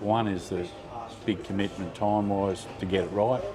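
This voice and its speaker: Music plays in the background as a man speaks with an Australian accent. His fairly low voice moves at a moderate pace. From Queensland, Australia. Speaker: top fuel motorcycle drag racer. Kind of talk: interview answer. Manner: soft-spoken.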